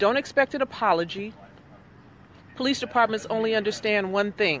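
A woman with ordinary pitch variation is heard in a dry sound with no echo over light background noise. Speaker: commentator livestreaming at an incident site. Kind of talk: casual livestream commentary. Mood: indignant, earnest. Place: street. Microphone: phone near.

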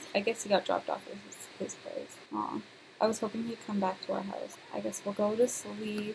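Noticeable background noise fills the recording. A woman talks through it at a medium pace. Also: big swings in loudness. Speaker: gaming YouTuber. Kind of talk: let's play commentary. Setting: home recording. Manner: animated.

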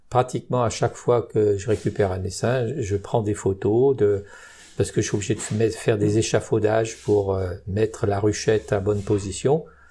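Somewhat breathy and dark in tone, a man's fairly low, mellow voice keeps a fairly even intonation. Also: moderate pace. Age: 70s. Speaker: beekeeper. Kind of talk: interview. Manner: hesitant.

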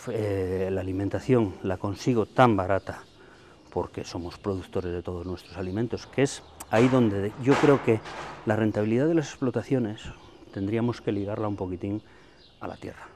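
Over light background noise, a man with a fairly low pitch speaks at a moderate pace. His loudness swings widely while his pitch varies in an ordinary way. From Santander, Cantabria, Spain; Cantabria, Spain. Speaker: dairy farmer. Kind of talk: interview. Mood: earnest, frustrated about milk prices. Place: farm.

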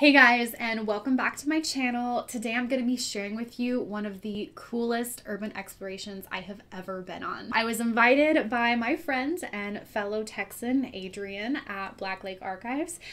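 Speaking at a moderate pace with hardly any pauses, a woman shows big swings in loudness and ordinary pitch variation. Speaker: video creator. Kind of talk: casual vlog intro. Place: home room.

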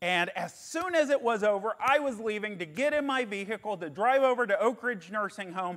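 A loud man with a high voice and lively intonation against a quiet background. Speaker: pastor. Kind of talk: sermon. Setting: re-recorded sermon video. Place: church. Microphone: lapel.

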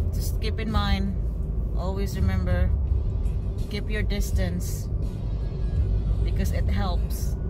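A woman at a very slow pace, with a dry sound with no echo and music in the background. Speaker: family vlogger. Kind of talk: casual vlog chat. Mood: caring, advising safety. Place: car. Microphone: phone near.

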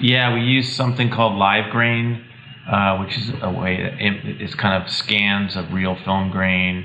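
Noticeable background noise sits behind the speech. A man talks fairly slowly in a fairly low pitch, with ordinary pitch variation. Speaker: cinematographer. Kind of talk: interview. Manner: hesitant, uses fillers.

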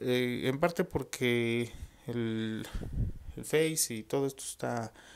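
Light background noise sits behind a voice with a Mexican accent and lively intonation. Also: man. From Mexico. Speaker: vlogger. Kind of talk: casual monologue to camera. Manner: halting. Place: home room. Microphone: earbuds.

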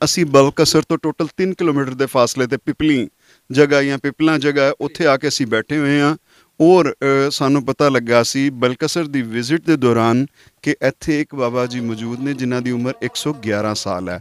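Against a quiet background with a dry sound and no echo, a man speaks with a fairly high pitch and ordinary pitch variation. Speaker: interviewer. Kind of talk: interview host talk. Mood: warm respectful. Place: street. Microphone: handheld.

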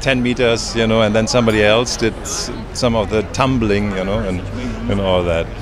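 A dry sound with no echo, noticeable background noise and a German accent. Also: man, fairly even intonation, moderate pace. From Germany. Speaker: actor. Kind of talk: red carpet interview. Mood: jovial, playful. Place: street. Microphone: handheld.

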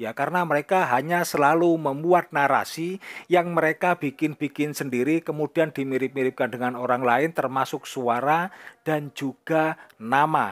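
A man speaks in a plain, everyday voice at a moderate pace, his fairly high pitch and fairly even intonation carried by a dry, close sound with no echo. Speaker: Islamic YouTube commentator. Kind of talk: online religious commentary.

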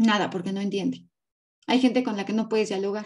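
A woman's fairly quick, monotone voice with flat intonation, set against a quiet background. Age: 30s. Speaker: graphologist and body language analyst; body language analyst. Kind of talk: interview. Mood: firm, somewhat indignant. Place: home room. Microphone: video call.

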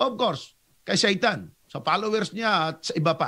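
On a very clean recording with a silent background, a man uses a raised, projected voice with a bright, sharp tone at a fairly slow pace. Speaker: Seventh-day Adventist evangelist debater. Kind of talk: religious debate.

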